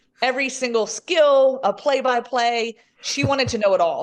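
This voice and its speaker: Animated in tone, a woman is speaking. She has an American accent. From US South, Southwest Virginia. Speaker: sports broadcaster. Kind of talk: podcast interview.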